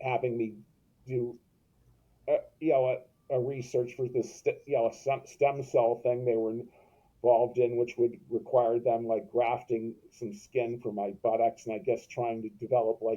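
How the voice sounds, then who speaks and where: With a dark, mellow tone and a somewhat breathy quality, the man talks at a medium pitch. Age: 60s. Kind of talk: interview. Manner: halting, many repetitions and false starts.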